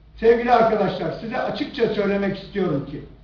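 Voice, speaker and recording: The voice moves at a moderate pace with ordinary pitch variation, against audible room echo and noticeable background noise. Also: man. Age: 60s. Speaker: politician. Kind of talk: press conference. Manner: animated.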